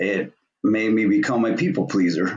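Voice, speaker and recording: A man speaks in a plain, everyday voice. His pitch is fairly low and his pace moderate. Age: 50s. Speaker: podcast host. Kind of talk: casual interview chat.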